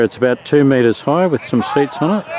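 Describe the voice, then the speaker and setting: There is noticeable background noise as a man with a fairly high pitch speaks with an Australian accent. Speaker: father and videographer. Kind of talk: casual vlog commentary. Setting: outdoors at sports ground.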